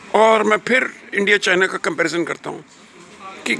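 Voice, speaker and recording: A man with a high pitch speaks with lively intonation against noticeable background noise. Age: 70s. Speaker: retired academic vlogger. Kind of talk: casual monologue vlog. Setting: outdoors.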